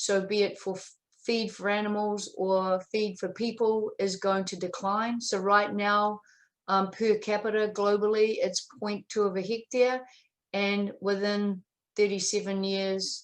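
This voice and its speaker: At a fairly slow pace, a woman with a New Zealand accent talks in a monotone, flat intonation at a medium pitch. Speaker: dairy specialist. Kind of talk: webinar presentation. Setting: online webinar. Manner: hesitant, many fillers.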